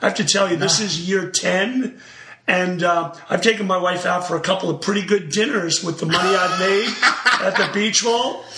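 A man with a high pitch projects a raised voice at a moderate pace, keeping fairly even intonation over noticeable background noise. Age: 50s. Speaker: former high jumper, meet promoter. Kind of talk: casual interview.

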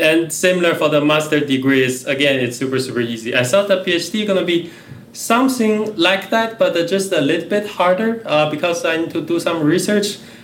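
Over noticeable background noise, a man with a Chinese accent talks in a high voice with lively intonation. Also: moderate pace. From China. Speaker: researcher and lecturer. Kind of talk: casual chat.

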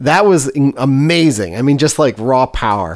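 A man with an American accent speaks in a normal speaking voice at medium pitch and a moderate pace. The recording is very clean, with a silent background. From US West Coast (East Bay, California). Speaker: food podcast host. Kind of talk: casual chat.

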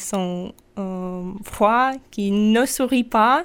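Her fairly high-pitched voice moves at a very slow pace as this woman speaks on a very clean recording with a silent background. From Russia, Sakhalin. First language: Russian (speaking French). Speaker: European volunteer. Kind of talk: radio interview. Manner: halting.

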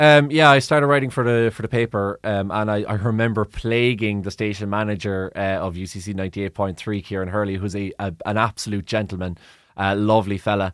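A man's fairly low voice in a Cork accent, with ordinary pitch variation. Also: fairly quick pace. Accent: Cork Irish. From Ireland, Cork. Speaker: sports broadcaster. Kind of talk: interview. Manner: halting.

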